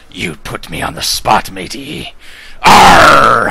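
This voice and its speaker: The pace here is very slow. A man delivers the lines in a put-on character voice. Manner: playful, growly.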